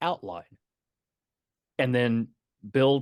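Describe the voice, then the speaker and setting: The sound is dry and close, with no echo. A man with a Texan accent speaks at a medium pitch. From East Texas. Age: 60s. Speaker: author and retired Navy veteran. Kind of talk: interview. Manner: halting, repeating words.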